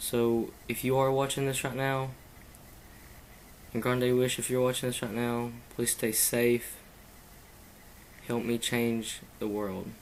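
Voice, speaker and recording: With long, frequent pauses, a man speaks at a fairly slow pace in a medium-pitched voice. His intonation is flat and monotone, and there is audible room echo. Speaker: video series host. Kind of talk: heartfelt anti-bullying message to viewers. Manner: halting, stumbling over words.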